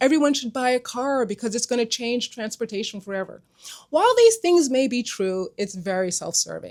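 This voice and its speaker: Lively intonation in a woman's high voice. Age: 60s. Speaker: regenerative medicine doctor and skincare creator. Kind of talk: social media talk to camera. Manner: conversational.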